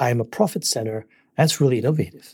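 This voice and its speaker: Speaking at a very fast pace, a man with a dark, mellow, somewhat breathy tone uses lively intonation. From Singapore. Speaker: business coach and author. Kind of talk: interview.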